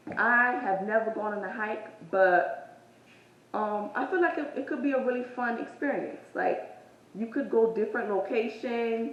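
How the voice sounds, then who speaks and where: Fairly slow speech from a woman with fairly high pitch and ordinary pitch variation, audible room echo and noticeable background noise. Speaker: fitness vlogger. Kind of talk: casual vlog talk. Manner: casual, hesitant with fillers.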